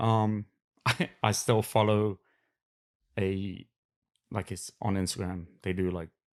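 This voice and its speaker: A man speaks very slowly at a fairly low pitch, leaving long, frequent pauses. His intonation is monotone and flat, and the recording is very clean with a silent background. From West London, England. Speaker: podcast guest. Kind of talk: casual chat. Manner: halting.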